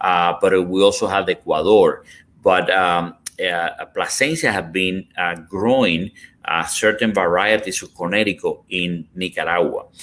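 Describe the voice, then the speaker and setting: Here a man speaks with a Cuban accent. His pace is fairly slow. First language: Spanish. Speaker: cigar company executive. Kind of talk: podcast interview. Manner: halting.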